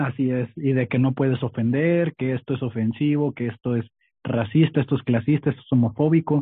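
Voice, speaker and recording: At a fairly quick pace, a man with a normal speaking voice talks at medium pitch with fairly even intonation. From Tijuana, Mexico. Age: 20s. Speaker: stand-up comedian and podcaster. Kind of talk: casual interview chat.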